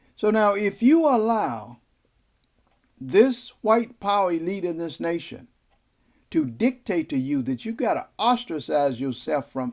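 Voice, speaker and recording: A man's voice with very wide pitch swings at a fairly slow pace, on a very clean recording with a silent background. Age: 70s. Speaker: political commentator. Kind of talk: video message. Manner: emphatic.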